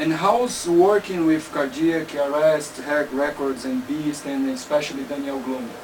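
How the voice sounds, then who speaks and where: Over noticeable background noise, a man with a Portuguese accent talks with hardly any pauses and ordinary pitch variation. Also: fairly high pitch for a man, fairly slow pace. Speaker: interviewer. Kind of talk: interview. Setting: studio.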